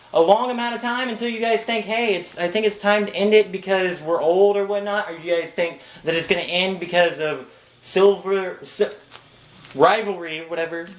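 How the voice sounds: A man's high-pitched voice at a moderate pace, with ordinary pitch variation and audible room echo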